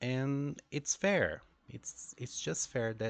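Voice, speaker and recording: In a Brazilian Portuguese accent, a man speaks at a very slow pace. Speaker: English teacher. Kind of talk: monologue about teaching experience. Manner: hesitant, many fillers.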